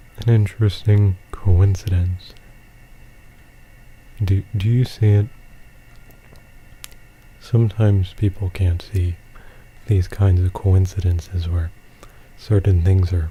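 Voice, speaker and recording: A soft-spoken man with a very deep, low voice talks in a relaxed tone at a very slow pace. His intonation is monotone and flat, broken by long, frequent pauses. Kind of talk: gameplay commentary. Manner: rambling, relaxed.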